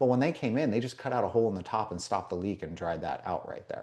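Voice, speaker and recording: Against a quiet background, a man with an American accent talks very fast in a dark, mellow tone at a fairly low pitch. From Las Vegas, US West. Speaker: indoor environmental consultant. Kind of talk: interview. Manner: casual, filler-heavy.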